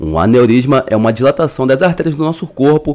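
A man's voice with vocal fry and a Brazilian accent. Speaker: YouTube narrator. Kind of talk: scripted narration.

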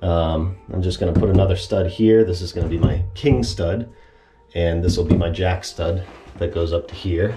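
Clear music plays behind a man with a very deep, low voice. He speaks at a moderate pace. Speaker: DIY home repair creator. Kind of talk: tutorial. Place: bathroom. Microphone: phone near.

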